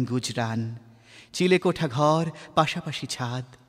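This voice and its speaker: In a very clean recording with a silent background, a man with an unremarkable speaking voice talks with ordinary pitch variation. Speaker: radio jockey, reciter. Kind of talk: poetry reading.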